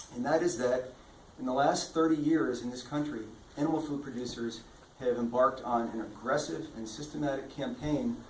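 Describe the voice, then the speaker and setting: A man talks at a medium pitch with ordinary pitch variation. Noticeable background noise and audible room echo fill the recording. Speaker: author and lawyer giving book talk. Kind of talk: public talk at book fair. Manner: fast.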